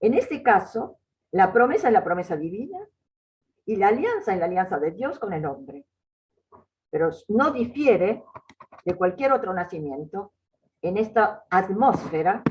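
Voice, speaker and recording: A somewhat breathy woman speaks at a fairly slow pace and medium pitch. Her intonation is lively, and she leaves long, frequent pauses. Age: 80s+. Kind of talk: lecture. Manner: halting.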